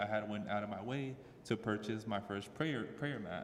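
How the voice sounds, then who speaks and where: A man with an American accent at medium pitch and a moderate pace, with noticeable background noise and audible room echo. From Southeast Dallas, Texas. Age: 20s. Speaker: new convert, former boxer. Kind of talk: personal testimony. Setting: mosque with audience. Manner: halting, many fillers.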